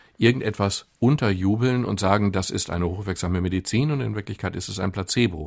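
The voice carries vocal fry at a moderate pace. The recording is very clean, with a silent background. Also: man. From Ruhr area, Germany (near Gelsenkirchen). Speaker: doctor and author. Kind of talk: radio interview.

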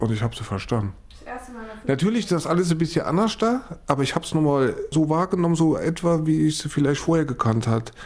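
Noticeable background noise runs under this recording. A man talks very fast with lively intonation and a fairly high pitch. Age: 40s. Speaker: cochlear implant patient. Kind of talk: interview testimony. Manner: halting.

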